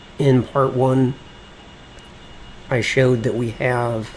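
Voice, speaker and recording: Very slowly and with monotone, flat intonation, a man speaks at a medium pitch against noticeable background noise. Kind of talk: casual gameplay commentary.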